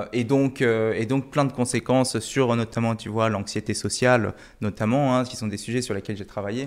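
A very clean recording of a man, silent in the background. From Korea. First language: Korean (speaking French). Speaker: podcast host. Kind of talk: interview.

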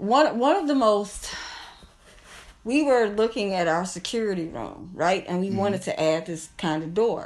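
With a Midwestern US accent, a woman speaks at a medium pitch and moderate pace, her intonation lively. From Kankakee, Illinois. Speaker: business owner and cannabis licensing consultant. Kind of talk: casual interview, teaching.

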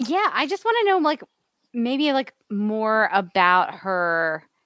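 Fairly slow delivery with very wide pitch swings, in a dry, close sound with no echo. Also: woman. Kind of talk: casual chat.

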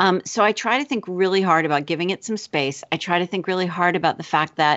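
This woman has an unremarkable speaking voice, fairly low in pitch, with ordinary pitch variation. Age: 40s. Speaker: author and teacher. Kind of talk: casual interview.

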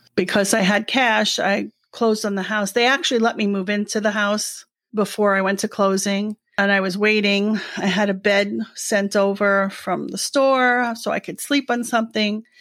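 A woman with a New York accent talks at a moderate pace with fairly even intonation. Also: medium pitch for a woman, hardly any pauses. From New York City, Brooklyn. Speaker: retiree. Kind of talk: casual chat.

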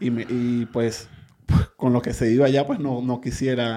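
With a Venezuelan accent, a man speaks at a medium pitch in a dark, mellow tone with monotone, flat intonation. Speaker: migrant. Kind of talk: interview about migration experience. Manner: halting, with many repetitions.

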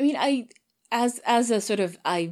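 On a very clean recording with a silent background, a woman with a Swedish accent speaks with lively intonation. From Sweden. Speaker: voice actor and audio drama producer. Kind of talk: interview conversation. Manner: halting.

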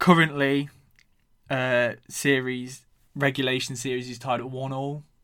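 Speaking with an English accent, a man uses a medium pitch and a bright, sharp tone, his intonation monotone and flat, at a fairly slow pace with long, frequent pauses. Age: 20s. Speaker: podcast host. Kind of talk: casual monologue.

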